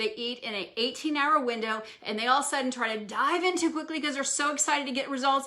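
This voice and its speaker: A woman talks in a raised, projected, high voice at a very fast clip, hardly pausing at all. Noticeable background noise runs behind her. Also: ordinary pitch variation. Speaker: wellness physician. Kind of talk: live stream health talk. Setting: live social media video.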